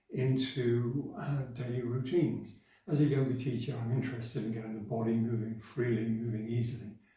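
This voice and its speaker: The recording carries audible room echo. A man speaks at a medium pitch. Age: 70s. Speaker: yoga teacher. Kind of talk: tutorial.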